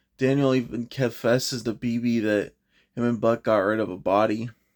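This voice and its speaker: A man with a plain, everyday voice, medium pitch and fairly even intonation, on a very clean recording with a silent background. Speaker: TV show reviewer. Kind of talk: spoiler review monologue.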